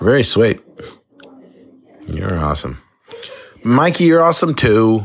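Music plays in the background as a man talks at a fairly slow pace, his pitch swinging very widely. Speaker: listener leaving a voicemail. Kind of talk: voicemail message. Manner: casual, rambling with fillers.

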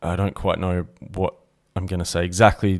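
Recorded very cleanly against a silent background, a man with an Australian accent speaks at a very deep, low pitch. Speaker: podcast co-host. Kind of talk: casual chat.

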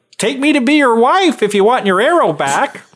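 An extremely high-pitched put-on character voice from a man. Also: moderate pace. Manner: coaxing, bargaining.

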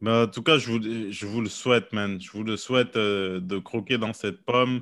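A man's fairly low pitch shows ordinary pitch variation as he talks at a fairly slow pace. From Quebec, Montreal. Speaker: podcast host and comedian. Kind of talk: casual chat.

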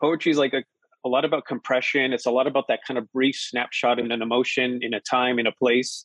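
In an American accent, a man speaks very fast at a medium pitch. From Colorado Springs, US. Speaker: poet and professor. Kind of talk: conversational interview.

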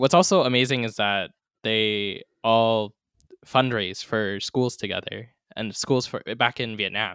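A man with an American accent and a plain, everyday voice speaks at a medium pitch and a fairly slow pace with ordinary pitch variation, in a dry, close sound with no echo on a very clean recording with a silent background. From US, San Francisco Bay Area. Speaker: guest host, sibling of the late father. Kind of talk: casual chat.

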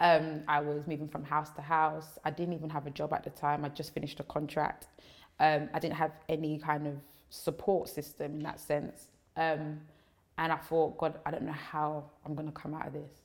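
The intonation stays monotone and flat on a very clean recording with a silent background. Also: woman, very deep, low pitch for a woman, moderate pace. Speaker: preacher. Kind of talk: casual chat. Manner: loud.

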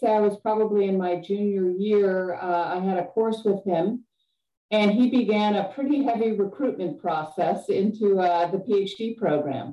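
An ordinary speaking voice from a woman, medium in pitch, with ordinary pitch variation and a fairly slow pace. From Chicago area, then Grand Cayman. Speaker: business professor. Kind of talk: interview.

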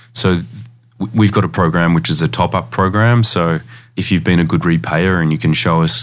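The speech comes at a very fast pace in an Australian accent. The intonation is lively. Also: man. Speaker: lending company CEO. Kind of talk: interview. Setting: studio.

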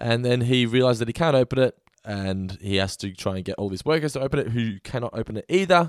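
A man with an Australian accent talks very fast with lively intonation, recorded dry and close with no echo. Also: medium pitch for a man. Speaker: podcast co-host reviewing TV episodes. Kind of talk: casual chat. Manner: puts on a radio voice.

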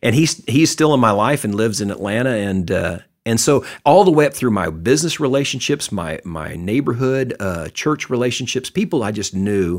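Very wide pitch swings from a man with a Texan accent, at a moderate pace. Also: medium pitch for a man, very clean recording, silent background. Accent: Texan American. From Texas. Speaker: retired businessman and lay ministry leader. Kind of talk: casual interview.

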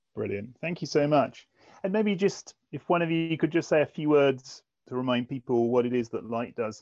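A plain, everyday voice from a fairly high-pitched man, with lively intonation, moderate pace and a dry, close sound with no echo. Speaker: technology executive hosting. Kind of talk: casual interview chat.

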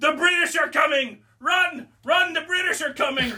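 A man shouts in a put-on character voice. His pitch is extremely high. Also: moderate pace. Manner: screaming, mocking shout.

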